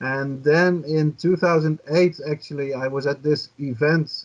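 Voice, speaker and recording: A man with a Dutch accent and fairly even intonation. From Netherlands. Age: 50s. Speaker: journalist and cannabis activist. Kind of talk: podcast interview.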